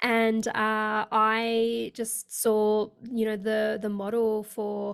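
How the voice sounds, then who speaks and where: A woman with a fairly high pitch speaks in an Australian accent. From Australia (Sydney). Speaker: leadership coach. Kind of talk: interview.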